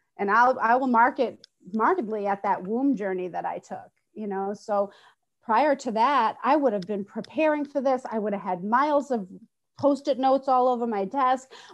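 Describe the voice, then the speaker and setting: Against a quiet background, a woman talks at a moderate pace in a fairly high pitch with ordinary pitch variation and an unremarkable speaking voice. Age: 50s. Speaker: spiritual healing teacher. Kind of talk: casual chat.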